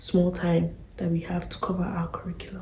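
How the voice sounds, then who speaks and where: Noticeable background noise surrounds a whispering voice. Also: woman. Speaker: vlogger. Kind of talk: casual chat.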